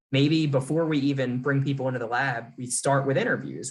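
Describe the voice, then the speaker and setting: A man talks at a fairly quick pace. His voice is medium-pitched and somewhat breathy. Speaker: lecturer. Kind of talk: lecture. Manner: fast.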